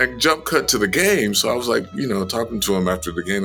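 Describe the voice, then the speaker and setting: A man at a fairly quick pace with lively intonation, music in the background. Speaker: voice actor. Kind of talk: interview answer.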